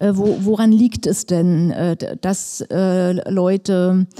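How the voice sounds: With a dark, mellow tone, a woman speaks slowly at a fairly low pitch and with fairly even intonation.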